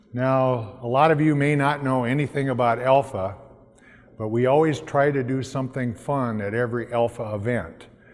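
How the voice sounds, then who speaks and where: The audio carries audible room echo. A man of medium pitch talks at a moderate pace. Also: fairly even intonation. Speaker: nonprofit founder. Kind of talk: pitch presentation. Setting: stage with audience. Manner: hesitant, many fillers.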